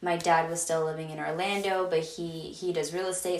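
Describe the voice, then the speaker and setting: Noticeable background noise behind a moderate pace and monotone, flat intonation. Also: woman. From Venezuela. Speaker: podcast host. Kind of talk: solo casual monologue.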